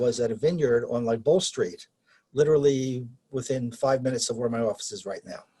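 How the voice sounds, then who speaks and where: With a dark, mellow tone and some breathiness, a man talks at a medium pitch. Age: 70s. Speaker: amateur winemaker. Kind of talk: interview. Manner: halting, frequent repetitions and fillers.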